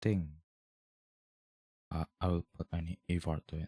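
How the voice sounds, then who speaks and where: The tone is dark and mellow, with a non-native accent. The sound is dry and close, with no echo. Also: man. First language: not English. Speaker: vlogger. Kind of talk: casual personal monologue, video diary. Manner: hesitant, rambling.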